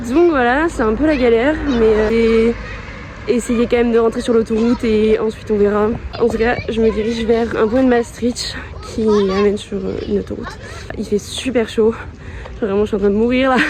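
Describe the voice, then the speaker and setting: A woman's fairly high-pitched voice at a moderate pace, with fairly even intonation and long, frequent pauses, over noticeable background noise. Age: 20s. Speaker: hitchhiking travel vlogger. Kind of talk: casual talk to camera.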